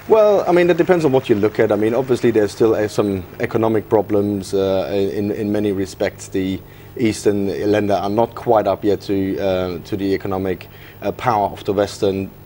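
There is noticeable background noise behind this man's voice. He speaks at a moderate pace in a fairly low pitch, with ordinary pitch variation. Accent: German. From Germany. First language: German. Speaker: policy analyst. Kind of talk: TV news interview. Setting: studio.

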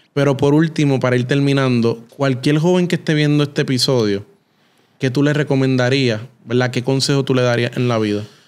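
A man's ordinary speaking voice, medium in pitch, with very even loudness, fairly even intonation, and a fairly quick pace. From Puerto Rico. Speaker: podcast host. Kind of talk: interview. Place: studio. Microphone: studio mic.

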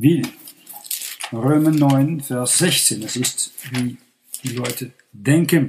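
In a Dutch accent, a man speaks at a very slow pace. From Netherlands. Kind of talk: sermon.

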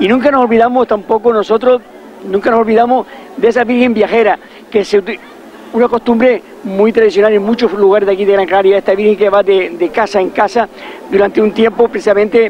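A man's high voice at a fairly quick pace, fairly even in intonation and very even in loudness, dry with no echo, over light background noise. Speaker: local event commentator. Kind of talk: live commentary. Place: street.

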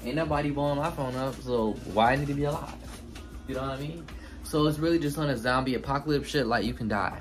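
Over clear background music, a man talks at a very fast pace with ordinary pitch variation. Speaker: cooking vlogger. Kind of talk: casual vlog chat. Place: kitchen. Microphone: phone near.

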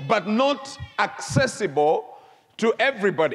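Shouting at a moderate pace, a man with a high voice swings very widely in pitch. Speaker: bishop. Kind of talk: emphatic church sermon, repeating key phrases like 'the truth must be revealed'. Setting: church before live congregation. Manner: rhythmic, repetitive preaching cadence with mounting intensity; prompts congregation to shout responses. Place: church. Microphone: lapel.

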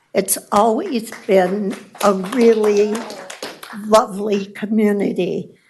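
A woman with an American accent talks at a very slow pace and medium pitch, her intonation fairly even, with audible room echo. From Elk Grove, California, US. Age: 80s+. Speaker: public commenter. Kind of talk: public comment at council meeting. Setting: city council chamber.

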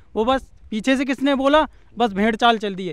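At a moderate pace, a man with an extremely high pitch speaks with fairly even intonation in a dry sound with no echo. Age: 20s. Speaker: village resident, teacher trainee; teacher trainee. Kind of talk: street interview. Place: open country. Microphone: handheld.

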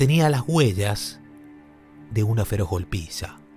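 A man's very slow speech with very wide pitch swings, music playing in the background. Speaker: podcast narrator. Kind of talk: true-crime podcast narration.

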